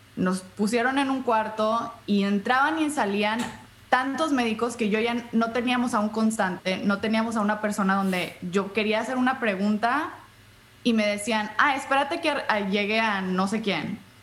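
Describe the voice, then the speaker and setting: Her loudness very even, a woman talks at a moderate pace with fairly high pitch and ordinary pitch variation. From US-Mexico border, Brownsville and Matamoros. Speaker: podcaster and patient advocate. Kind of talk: interview.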